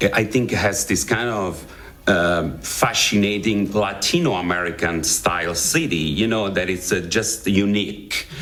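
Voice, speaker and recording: With an Italian accent, a man speaks fairly slowly at a fairly low pitch with ordinary pitch variation, amid noticeable background noise and audible room echo. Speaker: actor. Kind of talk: interview. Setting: studio. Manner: halting.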